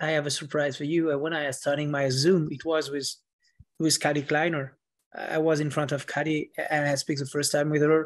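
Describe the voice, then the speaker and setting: A man with a French accent speaks fairly quickly at a fairly high pitch, his intonation monotone and flat, against a quiet background. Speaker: author. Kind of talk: interview.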